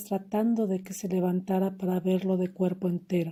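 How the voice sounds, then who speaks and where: A woman speaks at a fairly slow pace and medium pitch. Her voice is somewhat breathy with a dark, mellow tone. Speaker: audiobook narrator. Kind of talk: audiobook literary reading.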